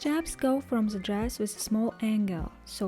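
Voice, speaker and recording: A woman's fairly high voice at a moderate pace, with music in the background. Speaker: sewing pattern maker. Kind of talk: sewing tutorial narration.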